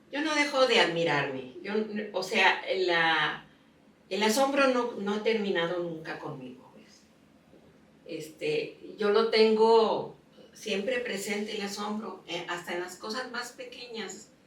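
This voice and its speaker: A woman with a medium pitch speaks at a very slow pace, with long, frequent pauses. Her loudness swings widely, and audible room echo surrounds her voice. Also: lively intonation. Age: 80s+. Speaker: painter. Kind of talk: interview. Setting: home studio.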